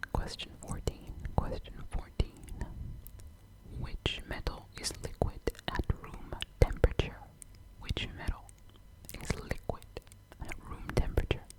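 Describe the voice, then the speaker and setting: A woman whispering at a fairly slow pace, long, frequent pauses and big swings in loudness, over noticeable background noise. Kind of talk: ASMR trivia quiz, close whispering. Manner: whispered, soft, slow.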